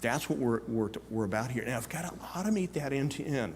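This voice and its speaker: Amid audible room echo, a man speaks at a medium pitch. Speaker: conference speaker, tech industry executive. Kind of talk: conference talk. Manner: fast.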